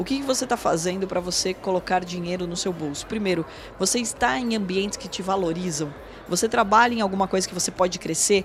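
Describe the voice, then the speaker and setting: A woman's medium-pitched voice at a very fast pace, with ordinary pitch variation and noticeable background noise. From Brazil, São Paulo state (Porto Feliz). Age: 30s. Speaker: financial market executive and educator. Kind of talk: interview. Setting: studio.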